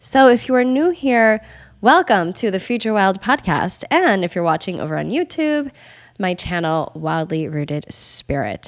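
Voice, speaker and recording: Her pitch is medium and swings very widely as a woman speaks at a moderate pace. The recording is very clean, with a silent background. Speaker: astrology podcast host. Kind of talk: podcast monologue. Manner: pauses to clear throat.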